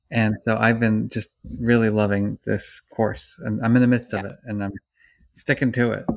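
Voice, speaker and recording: The man's intonation is monotone and flat. His voice sits at a medium pitch and moves at a moderate pace. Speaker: psychology professor. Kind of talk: interview. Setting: remote call. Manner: mellow.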